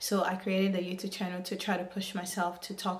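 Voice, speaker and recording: A woman with a somewhat breathy voice and a medium pitch talks at a moderate pace. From Africa, moved to the US as a child. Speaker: YouTuber. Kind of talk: vlog monologue to camera. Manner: hesitant, with fillers.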